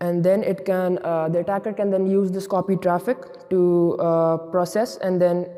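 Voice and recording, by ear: Pitched high, a man's voice has a dark, mellow tone and little pitch movement.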